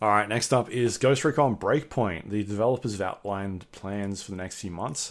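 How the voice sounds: A man's ordinary speaking voice, fairly low-pitched, at a moderate pace with hardly any pauses, ordinary pitch variation and big swings in loudness. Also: very clean recording, silent background.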